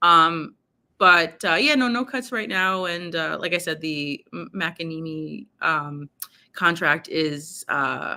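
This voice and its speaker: With a New York accent, a woman talks at a very slow pace in a bright, sharp tone. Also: fairly low pitch for a woman, ordinary pitch variation. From New York, Brooklyn. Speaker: sports journalist. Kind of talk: casual chat. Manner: hesitant, many fillers.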